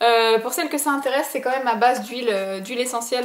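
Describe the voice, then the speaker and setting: A woman's high-pitched voice at a very fast pace, fairly even in intonation. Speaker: beauty vlogger. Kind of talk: product review vlog. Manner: casual, filler-heavy.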